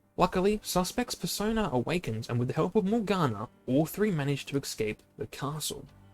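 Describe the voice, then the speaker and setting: A man's high voice, fairly quick with hardly any pauses and very wide pitch swings, in a dry, close sound with no echo and music in the background. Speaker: video game streamer. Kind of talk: reading aloud. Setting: live stream. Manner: halting.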